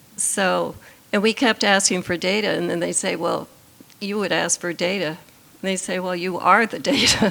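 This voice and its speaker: A woman with a medium-pitched voice and fairly even intonation talks at a moderate pace while noticeable background noise carries on behind her. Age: 80s+. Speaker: patient's wife and caregiver. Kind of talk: panel conversation.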